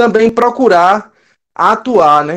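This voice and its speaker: A man talks with a northeastern Brazilian accent. His pitch is high. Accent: Northeast Brazilian. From Northeast Brazil. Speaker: church member, teacher. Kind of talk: casual farewell remarks.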